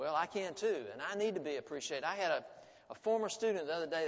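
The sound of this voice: An unforced reading voice is what this recording offers.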